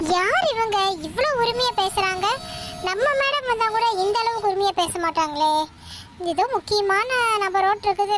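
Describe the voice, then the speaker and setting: A cartoonish character voice from a woman at extremely high pitch, fairly slow and very even in loudness, over clear background noise. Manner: polite, nervous.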